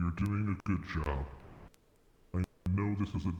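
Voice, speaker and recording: A man in a put-on character voice, fairly low in pitch, with a clear echo. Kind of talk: dark fantasy roleplay. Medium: machinima. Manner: formal, measured.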